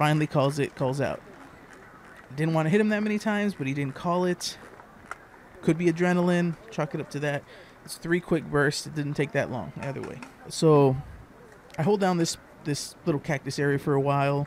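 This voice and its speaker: A man speaks fairly quickly at a fairly high pitch, with ordinary pitch variation and long, frequent pauses. Noticeable background noise runs underneath. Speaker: airsoft player. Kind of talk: gameplay commentary voice-over. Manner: low-energy.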